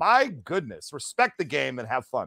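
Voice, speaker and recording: A loud man talks at a high pitch and a moderate pace. The sound is dry and close with no echo, on a very clean recording with a silent background. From US Midwest, Detroit metro area. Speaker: podcast host. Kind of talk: casual chat.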